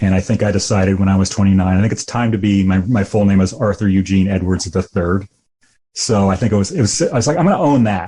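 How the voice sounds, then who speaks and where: A man with an American accent speaks very fast in a fairly low, somewhat breathy voice with a dark, mellow tone. His loudness stays very even over a quiet background. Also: ordinary pitch variation. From US Midwest, rural Illinois. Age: 50s. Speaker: musician. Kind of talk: podcast interview. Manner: halting.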